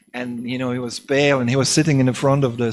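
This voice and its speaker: Monotone and flat, a man's voice moves at a fairly quick pace. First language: non-English. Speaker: preacher. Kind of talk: scripture class. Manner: halting, many fillers.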